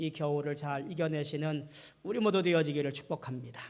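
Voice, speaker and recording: Audible room echo surrounds a man's fairly high voice. His intonation stays fairly even. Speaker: pastor. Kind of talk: sermon.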